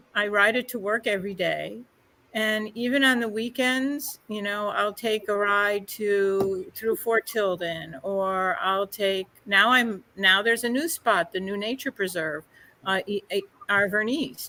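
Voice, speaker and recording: A woman's bright, sharp tone at a fairly slow pace. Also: medium pitch for a woman, ordinary pitch variation. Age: 60s. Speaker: library outreach specialist. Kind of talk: casual chat.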